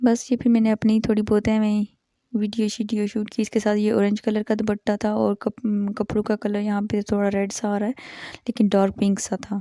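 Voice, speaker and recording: Dry and close with no echo, a woman's strained voice has a dark, mellow tone, a fairly high pitch and monotone, flat intonation. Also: moderate pace. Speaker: vlogger. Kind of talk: vlog voice-over narration. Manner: restrained volume in voice-over.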